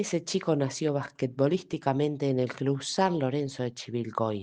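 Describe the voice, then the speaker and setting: Speaking at a fairly slow pace, a woman has a very deep, low voice with a dark, mellow tone. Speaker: voice-over narrator. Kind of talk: documentary narration.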